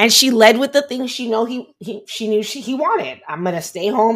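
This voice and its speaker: A woman speaks at a fairly quick pace in a fairly high pitch. She has an ordinary speaking voice. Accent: American. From Miami, Florida. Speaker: podcast host. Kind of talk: casual chat. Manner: casual, filler-heavy speech.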